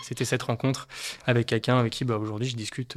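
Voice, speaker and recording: A medium-pitched male voice in a monotone, flat delivery, on a very clean recording with a silent background. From France, Haute-Savoie. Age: 20s. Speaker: watch collector. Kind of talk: casual chat. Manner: halting, many repetitions and fillers.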